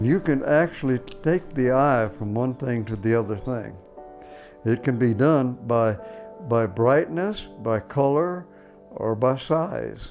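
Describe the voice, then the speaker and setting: Over music in the background, a man with a medium-pitched voice talks very slowly, using lively intonation. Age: 80s+. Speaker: painter. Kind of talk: documentary interview answer.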